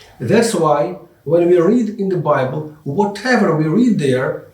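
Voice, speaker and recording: A man with a non-native accent speaks very slowly with lively intonation. Noticeable background noise and audible room echo fill the recording. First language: not English. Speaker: English teacher and Bible lecturer. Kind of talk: lecture.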